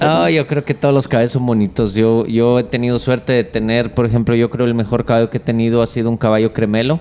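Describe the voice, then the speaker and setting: At a very fast pace with hardly any pauses, a man speaks at a medium pitch. His intonation is fairly even, his loudness very even, and there is noticeable background noise. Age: 40s. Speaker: charro horseman and rope maker. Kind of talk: casual interview chat.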